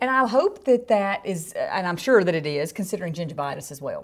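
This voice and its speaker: Very fast and with very wide pitch swings, a woman speaks in a Southern US accent at a medium pitch. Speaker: podcast host, dental hygienist. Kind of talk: casual chat, podcast.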